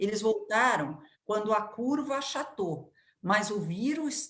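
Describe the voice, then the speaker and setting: Audible room echo fills the space as a woman speaks at a very slow pace. Her fairly high voice is somewhat breathy and makes very wide pitch swings. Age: 60s. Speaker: education expert. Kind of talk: interview.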